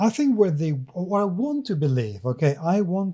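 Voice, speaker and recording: A man with a dark, mellow tone and lively intonation sounds somewhat breathy in a very clean recording with a silent background. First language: not English. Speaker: podcast co-host. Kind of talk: casual chat.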